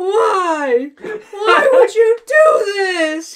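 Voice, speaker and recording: A put-on character voice, shouting at an extremely high pitch. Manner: screaming in horror.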